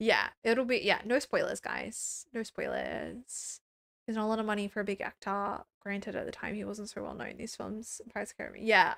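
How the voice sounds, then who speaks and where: At a fairly quick pace, a woman with an Australian accent speaks with big swings in loudness, in a dry, close sound with no echo on a very clean recording with a silent background. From rural New South Wales, Australia. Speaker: streamer reacting to films. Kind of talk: live stream chat. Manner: stumbles over words; casual, chatty.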